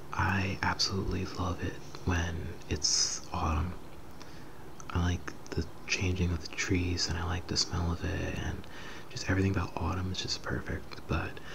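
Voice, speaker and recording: Whispering at a moderate pace in a relaxed tone, a man speaks over noticeable background noise. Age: 20s. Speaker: ASMR creator. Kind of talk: casual softly spoken Q&A to camera. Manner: soft-spoken, relaxed.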